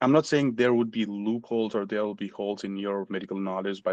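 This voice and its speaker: A man with a Nepali accent speaks in a fairly low pitch with fairly even intonation. The sound is dry and close, with no echo. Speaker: physician. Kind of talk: interview.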